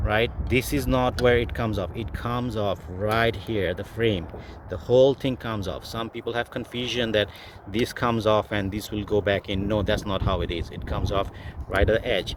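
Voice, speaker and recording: A man speaks at a moderate pace with a fairly low pitch. His pitch varies in an ordinary way, and he has a non-native accent. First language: not English. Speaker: car DIY video maker. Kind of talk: tutorial. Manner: halting, many fillers.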